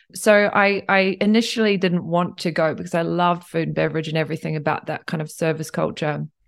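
Speaking with a New Zealand accent, a woman keeps a fairly low pitch and fairly even intonation at a fairly quick pace, on a very clean recording with a silent background. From New Zealand, Tauranga and Cambridge. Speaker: hotel general manager. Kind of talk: interview.

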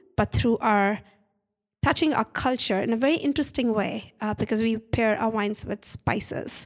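In an Indian accent, a woman speaks with ordinary pitch variation on a very clean recording with a silent background. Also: fairly high pitch for a woman, moderate pace. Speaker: winery owner. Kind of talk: casual interview. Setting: in a wine tasting room. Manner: hesitant, with filler words.

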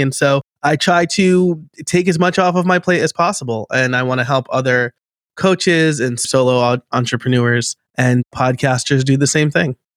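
Moderate pace and ordinary pitch variation in a dry, close sound with no echo. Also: man. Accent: American. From New York state. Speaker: podcast and automation coach. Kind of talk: casual interview chat.

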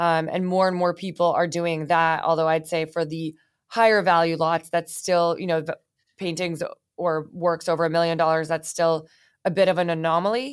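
Over a very clean recording with a silent background, a woman with an American accent speaks at a moderate pace and fairly low pitch. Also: fairly even intonation. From US West Coast, San Francisco Bay Area. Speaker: art acquisitions executive. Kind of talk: interview.

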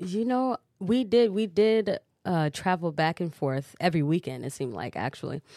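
In a Midwestern US accent, a woman speaks at a moderate pace with a fairly low pitch, a dark, mellow tone and very wide pitch swings. The sound is dry and close with no echo, on a very clean recording with a silent background. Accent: US Midwest. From Cedar Rapids, Iowa (born Chicago, moved at five). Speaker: R&B singer. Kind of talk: casual interview.

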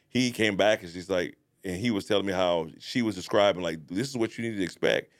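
Against a silent background in a very clean recording, a man speaks in a plain, everyday voice, fairly low in pitch, with ordinary pitch variation. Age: 40s. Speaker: podcast co-host and business owner. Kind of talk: casual chat. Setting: studio.

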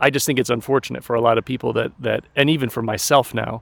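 A man's medium-pitched voice with vocal fry, at a fairly quick pace with ordinary pitch variation. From US, Colorado mountains. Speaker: social scientist and educator. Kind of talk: casual interview. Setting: outdoors in a park.

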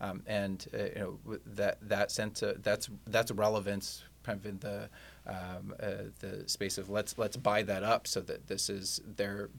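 A flat, monotone delivery with an American accent. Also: man. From US Midwest, Kansas City. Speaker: company CEO. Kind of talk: interview.

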